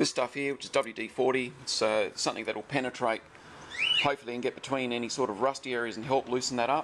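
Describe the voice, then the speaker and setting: This man races along at a very fast pace while noticeable background noise plays underneath. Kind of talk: tutorial. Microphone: phone near.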